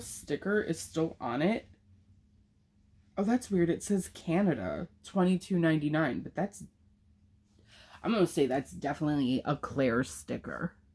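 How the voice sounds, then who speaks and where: A woman speaks at a moderate pace in a fairly low, dark and mellow voice with vocal fry and lively intonation. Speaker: unboxing vlogger. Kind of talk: casual unboxing vlog. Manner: animated.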